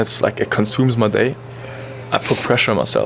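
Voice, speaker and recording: Over noticeable background noise, a man with a German accent speaks at a medium pitch and a moderate pace in a monotone, flat intonation. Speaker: podcast co-host, college soccer player. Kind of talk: casual chat.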